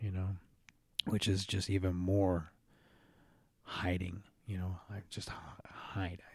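A man speaks at a very slow pace in a very deep, low pitch, monotone and flat, with long, frequent pauses. His voice is somewhat breathy, on a very clean recording with a silent background. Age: 40s. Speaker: podcast host, recovering alcoholic. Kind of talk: solo monologue podcast. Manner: halting, many fillers.

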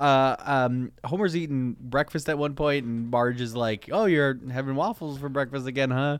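On a very clean recording with a silent background, a man with a plain, everyday voice speaks at a fairly high pitch with ordinary pitch variation. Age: 30s. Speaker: comedy podcast co-host. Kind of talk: casual chat.

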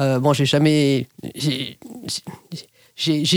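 A woman's voice, very deep and low in pitch. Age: 50s. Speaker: private pilot. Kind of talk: interview. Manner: hesitant with fillers.

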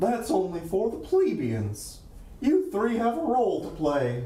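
This is a cartoonish character voice at a fairly slow pace. A slight echo is audible. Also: man, high pitch for a man. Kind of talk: cartoon voice impression. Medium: actual play. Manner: loud, exclamatory.

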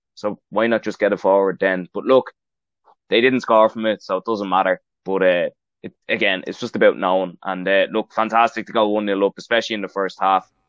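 Fairly quick, a man speaks in a fairly low voice. The intonation is monotone and flat. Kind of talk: sports commentary. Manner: relaxed, measured, analytical.

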